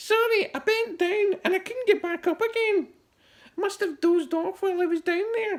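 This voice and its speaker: A man uses a put-on character voice at a moderate pace. It is squeaky and shrill, pitched extremely high. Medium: read story. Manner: muttering, doddering.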